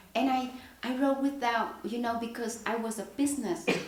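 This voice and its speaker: Speaking at a moderate pace in a Vietnamese accent, a woman is heard with audible room echo and noticeable background noise. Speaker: poet. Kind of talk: Q&A at poetry reading. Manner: halting.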